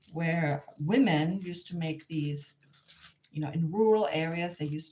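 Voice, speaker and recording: A somewhat breathy woman's voice with a dark, mellow tone, a German accent and ordinary pitch variation. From Germany, near the Polish border. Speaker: artist and craft teacher. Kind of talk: live online tutorial. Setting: livestream. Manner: hesitant, with fillers and restarts.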